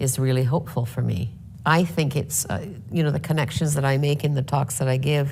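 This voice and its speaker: Ordinary pitch variation comes through with audible room echo. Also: woman. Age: 70s. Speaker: speaker on climate and leadership. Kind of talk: panel discussion. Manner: calm, measured.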